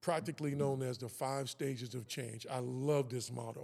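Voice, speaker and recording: In a plain, everyday voice, a man talks at medium pitch with ordinary pitch variation. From Kansas City, Missouri. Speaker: author and personal development worker. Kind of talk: interview conversation.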